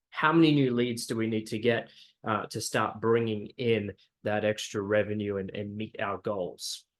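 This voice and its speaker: Talking at a moderate pace, a man has an Australian accent. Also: quiet background. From Australia, Brisbane. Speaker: digital marketing agency founder. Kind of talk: webinar presentation. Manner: hesitant, many fillers.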